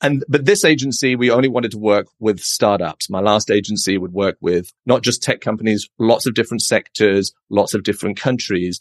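A man with a British accent speaks at a fairly quick pace and fairly low pitch, the sound dry and close with no echo and the background quiet. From England. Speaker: agency founder. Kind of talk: casual interview.

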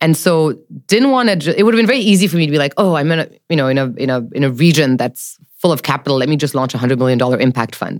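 This woman has a very deep, low voice and a French accent. She speaks very fast with lively intonation. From mixed: Jakarta, Tokyo, New York, Paris. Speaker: venture capital investor. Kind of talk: interview chat.

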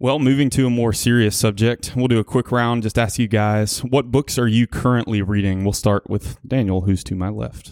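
Delivered in an ordinary speaking voice at a moderate pace, the speech has fairly even intonation and hardly any pauses. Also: man, medium pitch for a man. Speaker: church worship associate. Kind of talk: casual chat.

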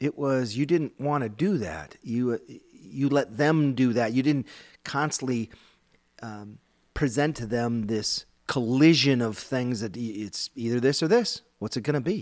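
Speaking with an American accent at a fairly slow pace, a man has an unremarkable speaking voice at a medium pitch with ordinary pitch variation. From US Midwest, Minnesota. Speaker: men's group leader and podcast host. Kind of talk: casual discussion on faith.

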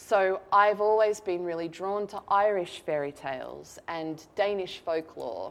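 Speaking with an Australian accent, a woman uses a medium pitch with ordinary variation and big swings in loudness. Her pace is fairly slow, with hardly any pauses. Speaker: novelist. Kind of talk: author talk. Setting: stage with audience. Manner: animated.

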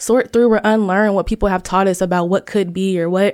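A woman with an American accent talks at a fairly quick pace. Her medium-pitched voice is flat and monotone. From Ohio, US Midwest. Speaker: design researcher and author. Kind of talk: podcast interview.

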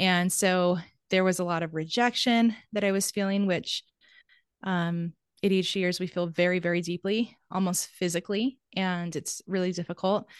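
With a normal speaking voice, a woman talks at a medium pitch and a moderate pace, her intonation fairly even. The background is quiet, and the sound is dry and close with no echo. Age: 30s. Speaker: ADHD coach. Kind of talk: interview. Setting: video call.

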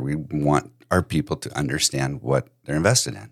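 The man's voice carries vocal fry. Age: 50s. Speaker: podcast host and financial advisor. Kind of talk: casual chat.

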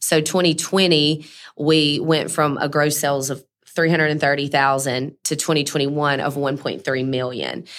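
A woman with a Mississippi accent speaks at a moderate pace. Her pitch is very deep and low, in a very clean recording with a silent background. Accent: Southern US (Mississippi). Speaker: cleaning business owner. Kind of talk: interview. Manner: animated.

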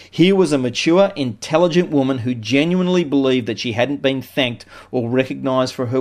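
A man with an Australian accent speaks at a moderate pace, his medium pitch showing ordinary variation. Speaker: business consultant. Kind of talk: scripted narration.

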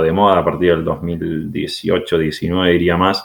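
In a very clean recording with a silent background, a man speaks at a very slow pace. His pitch is very deep and low. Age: 30s. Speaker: biologist and tech entrepreneur. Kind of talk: interview.

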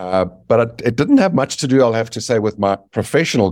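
The recording is very clean with a silent background. A man speaks with a South African accent and ordinary pitch variation. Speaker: business author. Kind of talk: interview.

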